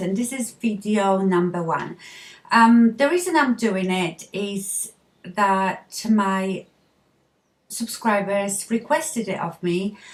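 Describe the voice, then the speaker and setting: A woman with a Polish accent, somewhat breathy, at a medium pitch with ordinary pitch variation and a very slow pace. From Poland. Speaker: beauty vlogger. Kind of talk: makeup tutorial talk to camera. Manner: casual, friendly.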